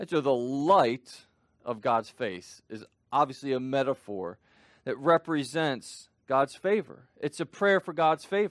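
A normal speaking voice with lively intonation at a fairly slow pace, in a very clean recording with a silent background and a dry, close sound with no echo. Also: man, fairly high pitch for a man. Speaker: preacher. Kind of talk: sermon. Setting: church. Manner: fervent, pleading, repeating phrases with rising intensity.

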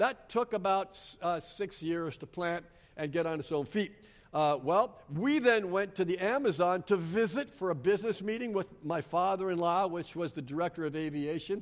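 Here a man talks at a moderate pace. His voice is high in pitch. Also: ordinary pitch variation. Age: 60s. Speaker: missionary. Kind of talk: sermon. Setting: church.

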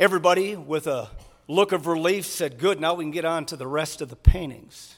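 A man's fairly high-pitched, animated voice at a fairly quick pace, with ordinary pitch variation and big swings in loudness. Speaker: preacher. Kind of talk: sermon. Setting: church with congregation. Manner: animated, earnest, engaging the congregation with questions.

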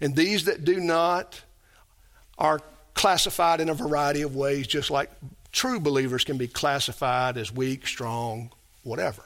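At a moderate pace, a man's speech shows ordinary pitch variation. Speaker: pastor. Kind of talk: sermon. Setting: church.

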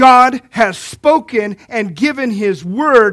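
Ordinary pitch variation with an American accent. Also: man. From Kentucky. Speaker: pastor. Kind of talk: sermon.

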